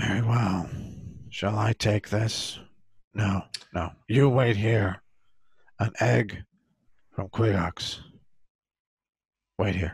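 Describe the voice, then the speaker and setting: Putting on a character voice with a fairly low pitch, a man speaks very slowly with fairly even intonation and long, frequent pauses. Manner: curt, imperious.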